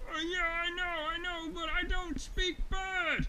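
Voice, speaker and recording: A put-on character voice at an extremely high pitch talks at a fairly slow pace with monotone, flat intonation, over clear background noise. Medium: read story. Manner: excitable, scared.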